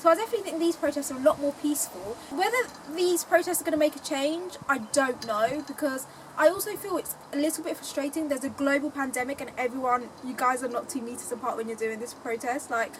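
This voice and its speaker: Noticeable background noise sits behind a woman speaking at a very fast pace. Her pitch is high, and her intonation lively. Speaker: podcast host. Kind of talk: casual chat.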